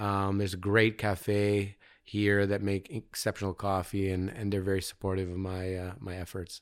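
A man with a Canadian accent speaks at a moderate pace in a fairly low, flat monotone with hardly any pauses, on a very clean recording with a silent background. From Canada, London, Ontario. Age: 40s. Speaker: visual artist. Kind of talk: casual interview. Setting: artist studio.

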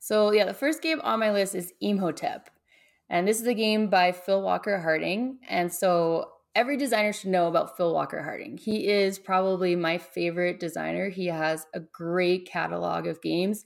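A woman talks at a moderate pace in a normal speaking voice, with ordinary rises and falls in pitch. The recording is very clean, and the background is silent. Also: medium pitch for a woman. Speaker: game designer, YouTube creator. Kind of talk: casual interview chat.

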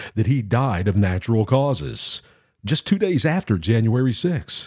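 In a very clean recording with a silent background, a man speaks at a medium pitch and moderate pace, somewhat breathy, with lively intonation. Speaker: radio host. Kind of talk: political talk radio commentary. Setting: studio. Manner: opinionated, formal.

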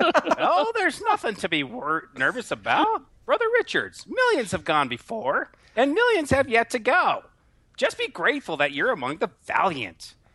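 At a moderate pace, the lines come out in a put-on character voice. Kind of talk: formal, religious. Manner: solemn, reassuring.

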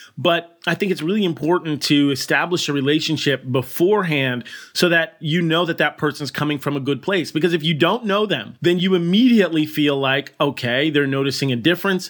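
Speaking at a very fast pace, a man keeps ordinary pitch variation. His pitch is fairly high. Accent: American. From US Northeast (Burlington, Connecticut). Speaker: veterinary surgeon. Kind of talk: casual interview chat.

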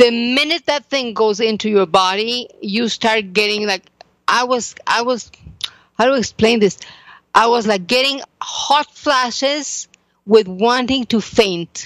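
A woman talks at a fairly slow pace in a fairly high pitch with ordinary pitch variation, the sound dry and close with no echo. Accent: Spanish. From Mexico. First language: Spanish. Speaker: psychotherapist and author. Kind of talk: interview testimony.

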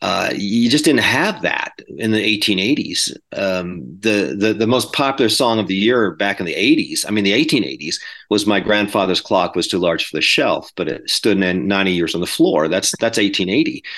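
A man with an American accent and an unremarkable speaking voice, fairly low in pitch, lively in intonation, at a moderate pace with hardly any pauses, over a quiet background. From California, US. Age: 50s. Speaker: pastor and author. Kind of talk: interview discussion.

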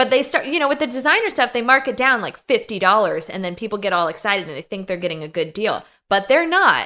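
A woman's high, bright, sharp voice with an American accent, very wide pitch swings, a very fast pace and hardly any pauses. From US, suburbs of Los Angeles. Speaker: podcast host. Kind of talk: casual chat. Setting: in person with host.

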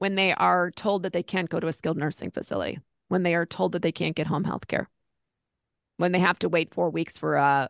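With vocal fry and a very deep, low pitch, a woman talks at a fairly quick pace against a quiet background. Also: dry, close sound with no echo. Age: 50s. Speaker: Medicare insurance agent. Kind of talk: interview.

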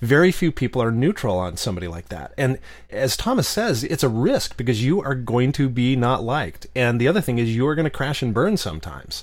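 A man speaks with an American accent at a moderate pace and medium pitch, in an ordinary speaking voice. His intonation is lively. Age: 50s. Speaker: novelist and former podcast host. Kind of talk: casual interview chat.

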